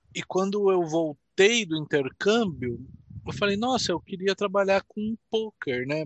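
This man talks at a fairly slow pace in a high pitch. His intonation is lively. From Jundiaí, São Paulo state, Brazil. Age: 30s. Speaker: professional poker player. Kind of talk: casual interview.

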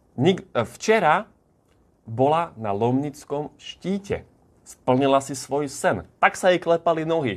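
An animated man with a fairly high pitch and lively intonation. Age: 20s. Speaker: motivational vlogger and business owner. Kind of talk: motivational video monologue. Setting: holiday accommodation in the Tatras.

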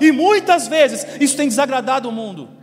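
A man keeps up a fairly quick pace while noticeable background noise carries on around him. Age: young. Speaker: pastor. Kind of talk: sermon.

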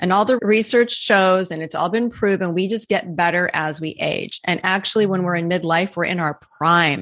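Medium-pitched woman's voice, animated in tone, at a moderate pace with hardly any pauses and ordinary pitch variation. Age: 50s. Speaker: midlife women's coach. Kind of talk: interview.

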